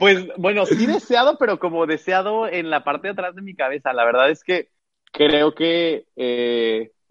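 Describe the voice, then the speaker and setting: Dry and close with no echo, a man's high voice moves at a fairly slow pace with very wide pitch swings. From Cancún, Mexico. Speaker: drag performer. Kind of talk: interview.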